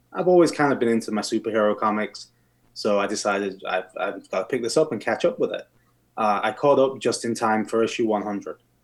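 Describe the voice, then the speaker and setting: On a very clean recording with a silent background, a man with an English accent speaks at a very fast pace. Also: medium pitch for a man, ordinary pitch variation. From England. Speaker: steel plant worker, podcast guest. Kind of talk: casual chat.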